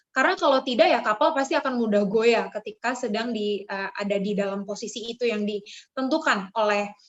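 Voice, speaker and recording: A woman's fairly high voice in a strong Jakarta accent. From Jakarta, Indonesia. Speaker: youth speaker. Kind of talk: devotional talk. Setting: video call. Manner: casual with fillers.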